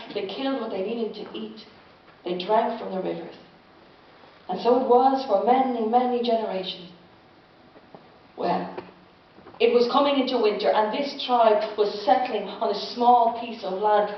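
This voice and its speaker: A woman's fairly high voice at a moderate pace, with long, frequent pauses, big swings in loudness and noticeable background noise. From Ireland. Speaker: storyteller. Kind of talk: live storytelling performance. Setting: live audience.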